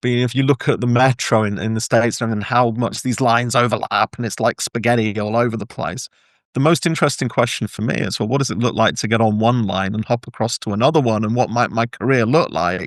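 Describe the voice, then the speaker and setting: A man with an English accent speaks at a very fast pace and medium pitch. His intonation is fairly even, against a quiet background. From England. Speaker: workplace engagement consultant and author. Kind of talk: podcast interview. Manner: hesitant with repetitions.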